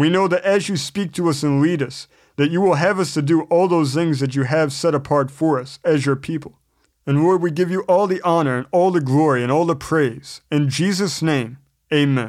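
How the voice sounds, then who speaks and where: A plain, everyday voice from a man, fairly high in pitch with ordinary pitch variation at a moderate pace, on a very clean recording with a silent background. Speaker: Bible teacher. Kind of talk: Bible study lesson with scripture reading; earnest spoken prayer, reverent and pleading. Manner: earnest, sincere, measured; fervent, heartfelt, reverent prayer tone.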